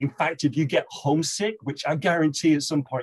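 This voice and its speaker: Somewhat breathy, a man with an American accent talks at a fairly quick pace in a dry, close sound with no echo. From northern England, Manchester. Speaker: business executive. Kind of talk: interview.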